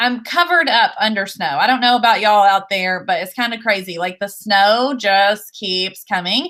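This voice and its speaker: Her tone is bright and sharp as the woman speaks at a moderate pace with lively intonation. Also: medium pitch for a woman, hardly any pauses. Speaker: instructional technology coordinator hosting education livestream. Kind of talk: livestream show introduction. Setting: video call livestream.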